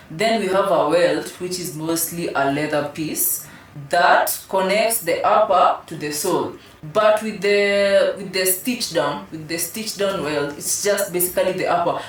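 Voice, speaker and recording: Against noticeable background noise and audible room echo, a woman with an African accent talks at medium pitch with ordinary pitch variation. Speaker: shoe designer and company head. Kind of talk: casual interview.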